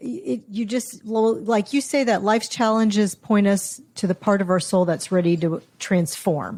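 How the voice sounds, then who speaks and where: A woman's somewhat breathy voice at medium pitch, fairly slow and with hardly any pauses, very even in loudness, with ordinary pitch variation. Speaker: podcast host. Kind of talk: interview question.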